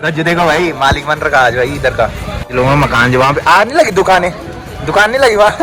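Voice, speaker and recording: Over crowd noise and audible room echo, a man with a fairly high voice talks in an animated tone at a moderate pace. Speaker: village life vlogger. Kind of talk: casual vlog. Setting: outdoors at a village fair.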